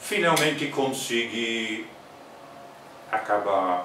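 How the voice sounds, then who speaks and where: Noticeable background noise and audible room echo beneath lively intonation. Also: man. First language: English (speaking Portuguese). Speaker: botanist. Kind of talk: interview. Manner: halting.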